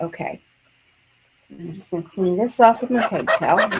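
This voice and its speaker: Moving at a moderate pace, a woman's voice shows very wide pitch swings and big swings in loudness. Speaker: card-making crafter. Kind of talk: crafting tutorial. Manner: casual, thinking aloud.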